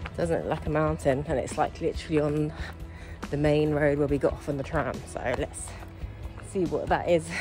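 Over clear music in the background, a woman speaks at a moderate pace in a dry sound with no echo. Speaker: travel vlogger. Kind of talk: casual vlog chat. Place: street. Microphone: phone near.

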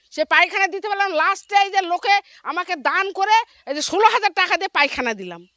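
The voice is raised and projected, in a dry, close sound with no echo. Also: woman, extremely high pitch for a woman, ordinary pitch variation. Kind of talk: street interview.

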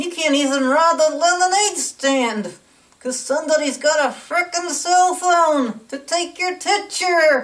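A cartoonish character voice from a woman, extremely high in pitch and fairly slow. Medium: puppet. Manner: ranting, indignant.

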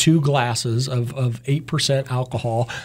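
A somewhat breathy man against a quiet background. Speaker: guest. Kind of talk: interview answer. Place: studio. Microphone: studio mic.

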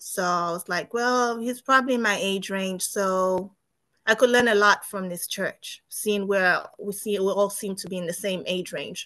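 A woman speaks fairly slowly with a bright, sharp tone. Her intonation stays fairly even against a quiet background. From Zambia. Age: 30s. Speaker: nurse; interviewee. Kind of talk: testimony. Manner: halting. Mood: calm, reflective. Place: home room. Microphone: video call.

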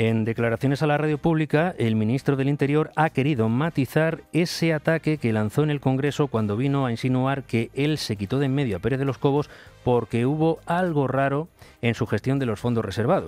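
A man at a fairly quick pace and very even loudness, with faint music in the background. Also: ordinary pitch variation, dry sound with no echo. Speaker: radio presenter. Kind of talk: news commentary. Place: studio.

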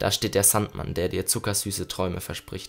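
Speaking at a moderate pace, a man uses a normal speaking voice pitched fairly low. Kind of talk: poetry slam, spoken-word performance of a written poem. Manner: intense and rhythmic, building from hushed, melancholy lines to angry, urgent bursts; reflective, with pauses and repeated refrains.

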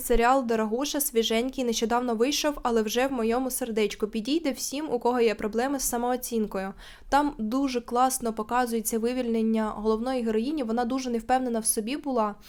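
Hardly pausing, a woman with a high pitch speaks at a fairly quick pace in fairly even intonation. The recording is very clean, with a silent background. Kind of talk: casual talk to camera.

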